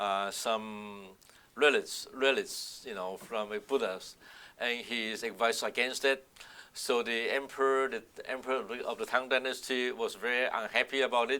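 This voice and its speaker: This man has a medium-pitched voice with a bright, sharp tone. He talks at a moderate pace with fairly even intonation. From southern China, Guangdong (Shantou). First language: Southern Min (Minnan) Chinese. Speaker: oral history interviewee. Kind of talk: oral history interview. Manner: halting, many fillers and restarts.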